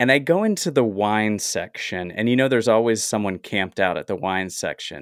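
Recorded very cleanly against a silent background with a dry, close sound and no echo, a man with an American accent talks in a plain, everyday voice at medium pitch and a fairly quick pace, with ordinary pitch variation. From US South. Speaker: actor and writer. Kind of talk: casual chat.

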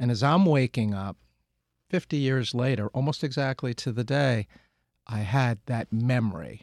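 Recorded very cleanly against a silent background, dry and close with no echo, a man talks at a moderate pace in a medium pitch with ordinary pitch variation. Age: 60s. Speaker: lawyer and community spokesperson. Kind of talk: interview. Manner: hesitant fillers.

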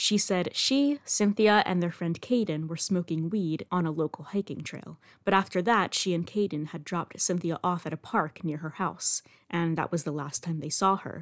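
In a very clean recording with a silent background and a dry, close sound with no echo, a woman with a normal speaking voice talks at a moderate pace, her fairly low pitch showing ordinary pitch variation. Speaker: podcast host and true-crime narrator. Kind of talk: true-crime narration, scripted storytelling. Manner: measured, serious storyteller pace with dry, wry asides; clear and even, sombre on violent details.

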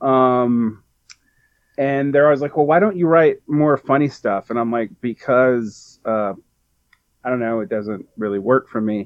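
In a plain, everyday voice, a man talks at a fairly slow pace, with medium pitch and ordinary pitch variation. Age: 40s. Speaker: poet. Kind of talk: casual chat.

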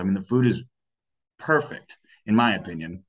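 A normal speaking voice with an American accent moves at a moderate pace with lively intonation. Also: man. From Sacramento, California. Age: 20s. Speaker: political campaign advocate. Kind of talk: interview.

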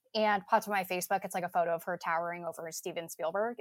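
A woman with an American accent at a very fast pace and fairly even intonation, in a dry, close sound with no echo on a very clean recording with a silent background. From New Jersey. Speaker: university alumna. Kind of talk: casual panel interview.

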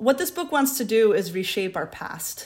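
A woman with an American accent is heard in a very clean recording with a silent background. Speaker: literature professor. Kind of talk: academic interview. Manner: hesitant, many fillers and restarts.

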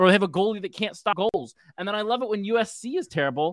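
A man with an American accent talks at a very fast pace in a high voice. The recording is very clean and dry, close with no echo, and the background is silent. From San Francisco. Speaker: sports fan guest. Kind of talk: casual chat. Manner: animated.

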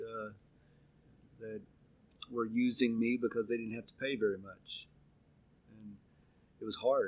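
This man has an American accent and a medium pitch. He talks at a moderate pace with monotone, flat intonation. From Oklahoma, Arkansas border. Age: 50s. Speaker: racehorse trainer. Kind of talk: interview.

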